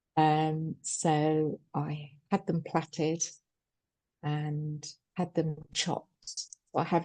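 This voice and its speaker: Speaking at a very slow pace, a woman uses a fairly low pitch and a dark, mellow tone. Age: 60s. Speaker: psychotherapist, cancer patient. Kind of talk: webinar talk and Q&A. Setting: online webinar.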